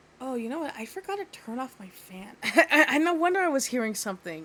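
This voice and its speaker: A soft-spoken woman with a high pitch talks at a fairly quick pace with very wide pitch swings over noticeable background noise. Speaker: video game streamer. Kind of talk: casual chat. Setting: livestream. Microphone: too quiet.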